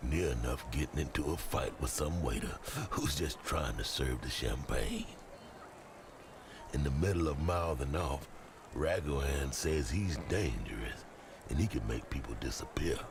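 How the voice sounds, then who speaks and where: Putting on a gruff character voice with a very deep, low pitch, a man speaks at a moderate pace with long, frequent pauses over clear background noise. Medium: video game. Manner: slangy, gruff, coughing.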